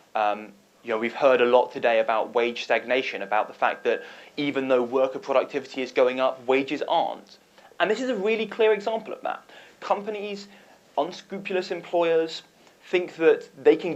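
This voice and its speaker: With a British accent, a man speaks at a fairly high pitch and a fairly quick pace, making very wide pitch swings. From United Kingdom. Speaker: nonprofit founder and advocate. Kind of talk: panel discussion.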